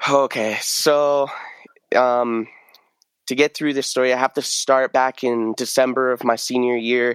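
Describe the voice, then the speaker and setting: A man talks at a fairly slow pace with monotone, flat intonation, and the sound is dry and close with no echo. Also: medium pitch for a man. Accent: American. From rural southern Oregon. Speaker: recent college graduate. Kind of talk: casual interview. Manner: casual, frequent fillers.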